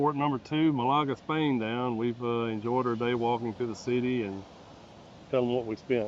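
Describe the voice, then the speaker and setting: A man with an American accent speaks at a moderate pace in an unremarkable speaking voice, his medium pitch carrying fairly even intonation. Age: 50s. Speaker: retired travel vlogger. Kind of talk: casual travel vlog chat. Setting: outdoors.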